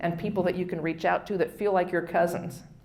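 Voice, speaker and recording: Through noticeable background noise comes a woman's fairly low-pitched voice with fairly even intonation. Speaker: charity auctioneer and fundraising strategist. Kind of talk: workshop presentation to an audience.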